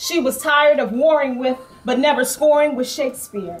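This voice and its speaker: A woman speaks at a fairly slow pace with a high pitch and ordinary pitch variation. Music plays in the background. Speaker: spoken word poet. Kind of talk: spoken word poetry performance.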